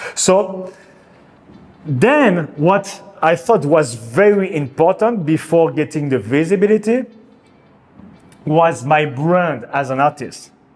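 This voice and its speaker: A man's fairly high voice at a very slow pace, with lively intonation, long, frequent pauses and music in the background. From France. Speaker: artist. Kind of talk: casual talk to camera. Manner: halting.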